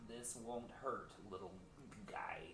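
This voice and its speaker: A man's put-on character voice at medium pitch, amid loud background noise. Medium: actual play. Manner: soft, reassuring.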